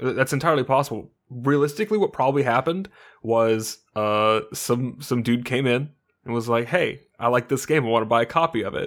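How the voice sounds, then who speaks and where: On a very clean recording with a silent background, a man has an unremarkable speaking voice with medium pitch and ordinary pitch variation. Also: fairly quick pace. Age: 20s. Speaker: podcast co-host and streamer. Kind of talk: casual chat. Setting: home studio, new microphone.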